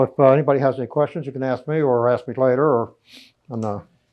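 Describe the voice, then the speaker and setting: A man with an American accent talks at a very fast pace. His pitch shows ordinary variation. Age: 70s. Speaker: amateur archaeologist. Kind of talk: talk at a local history society. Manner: halting.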